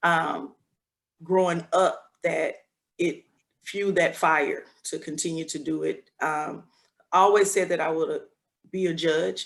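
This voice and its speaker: A woman with a Southern US accent, fairly slow in pace, with long, frequent pauses. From US South, Selma, Alabama. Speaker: judge. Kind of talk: press conference Q&A.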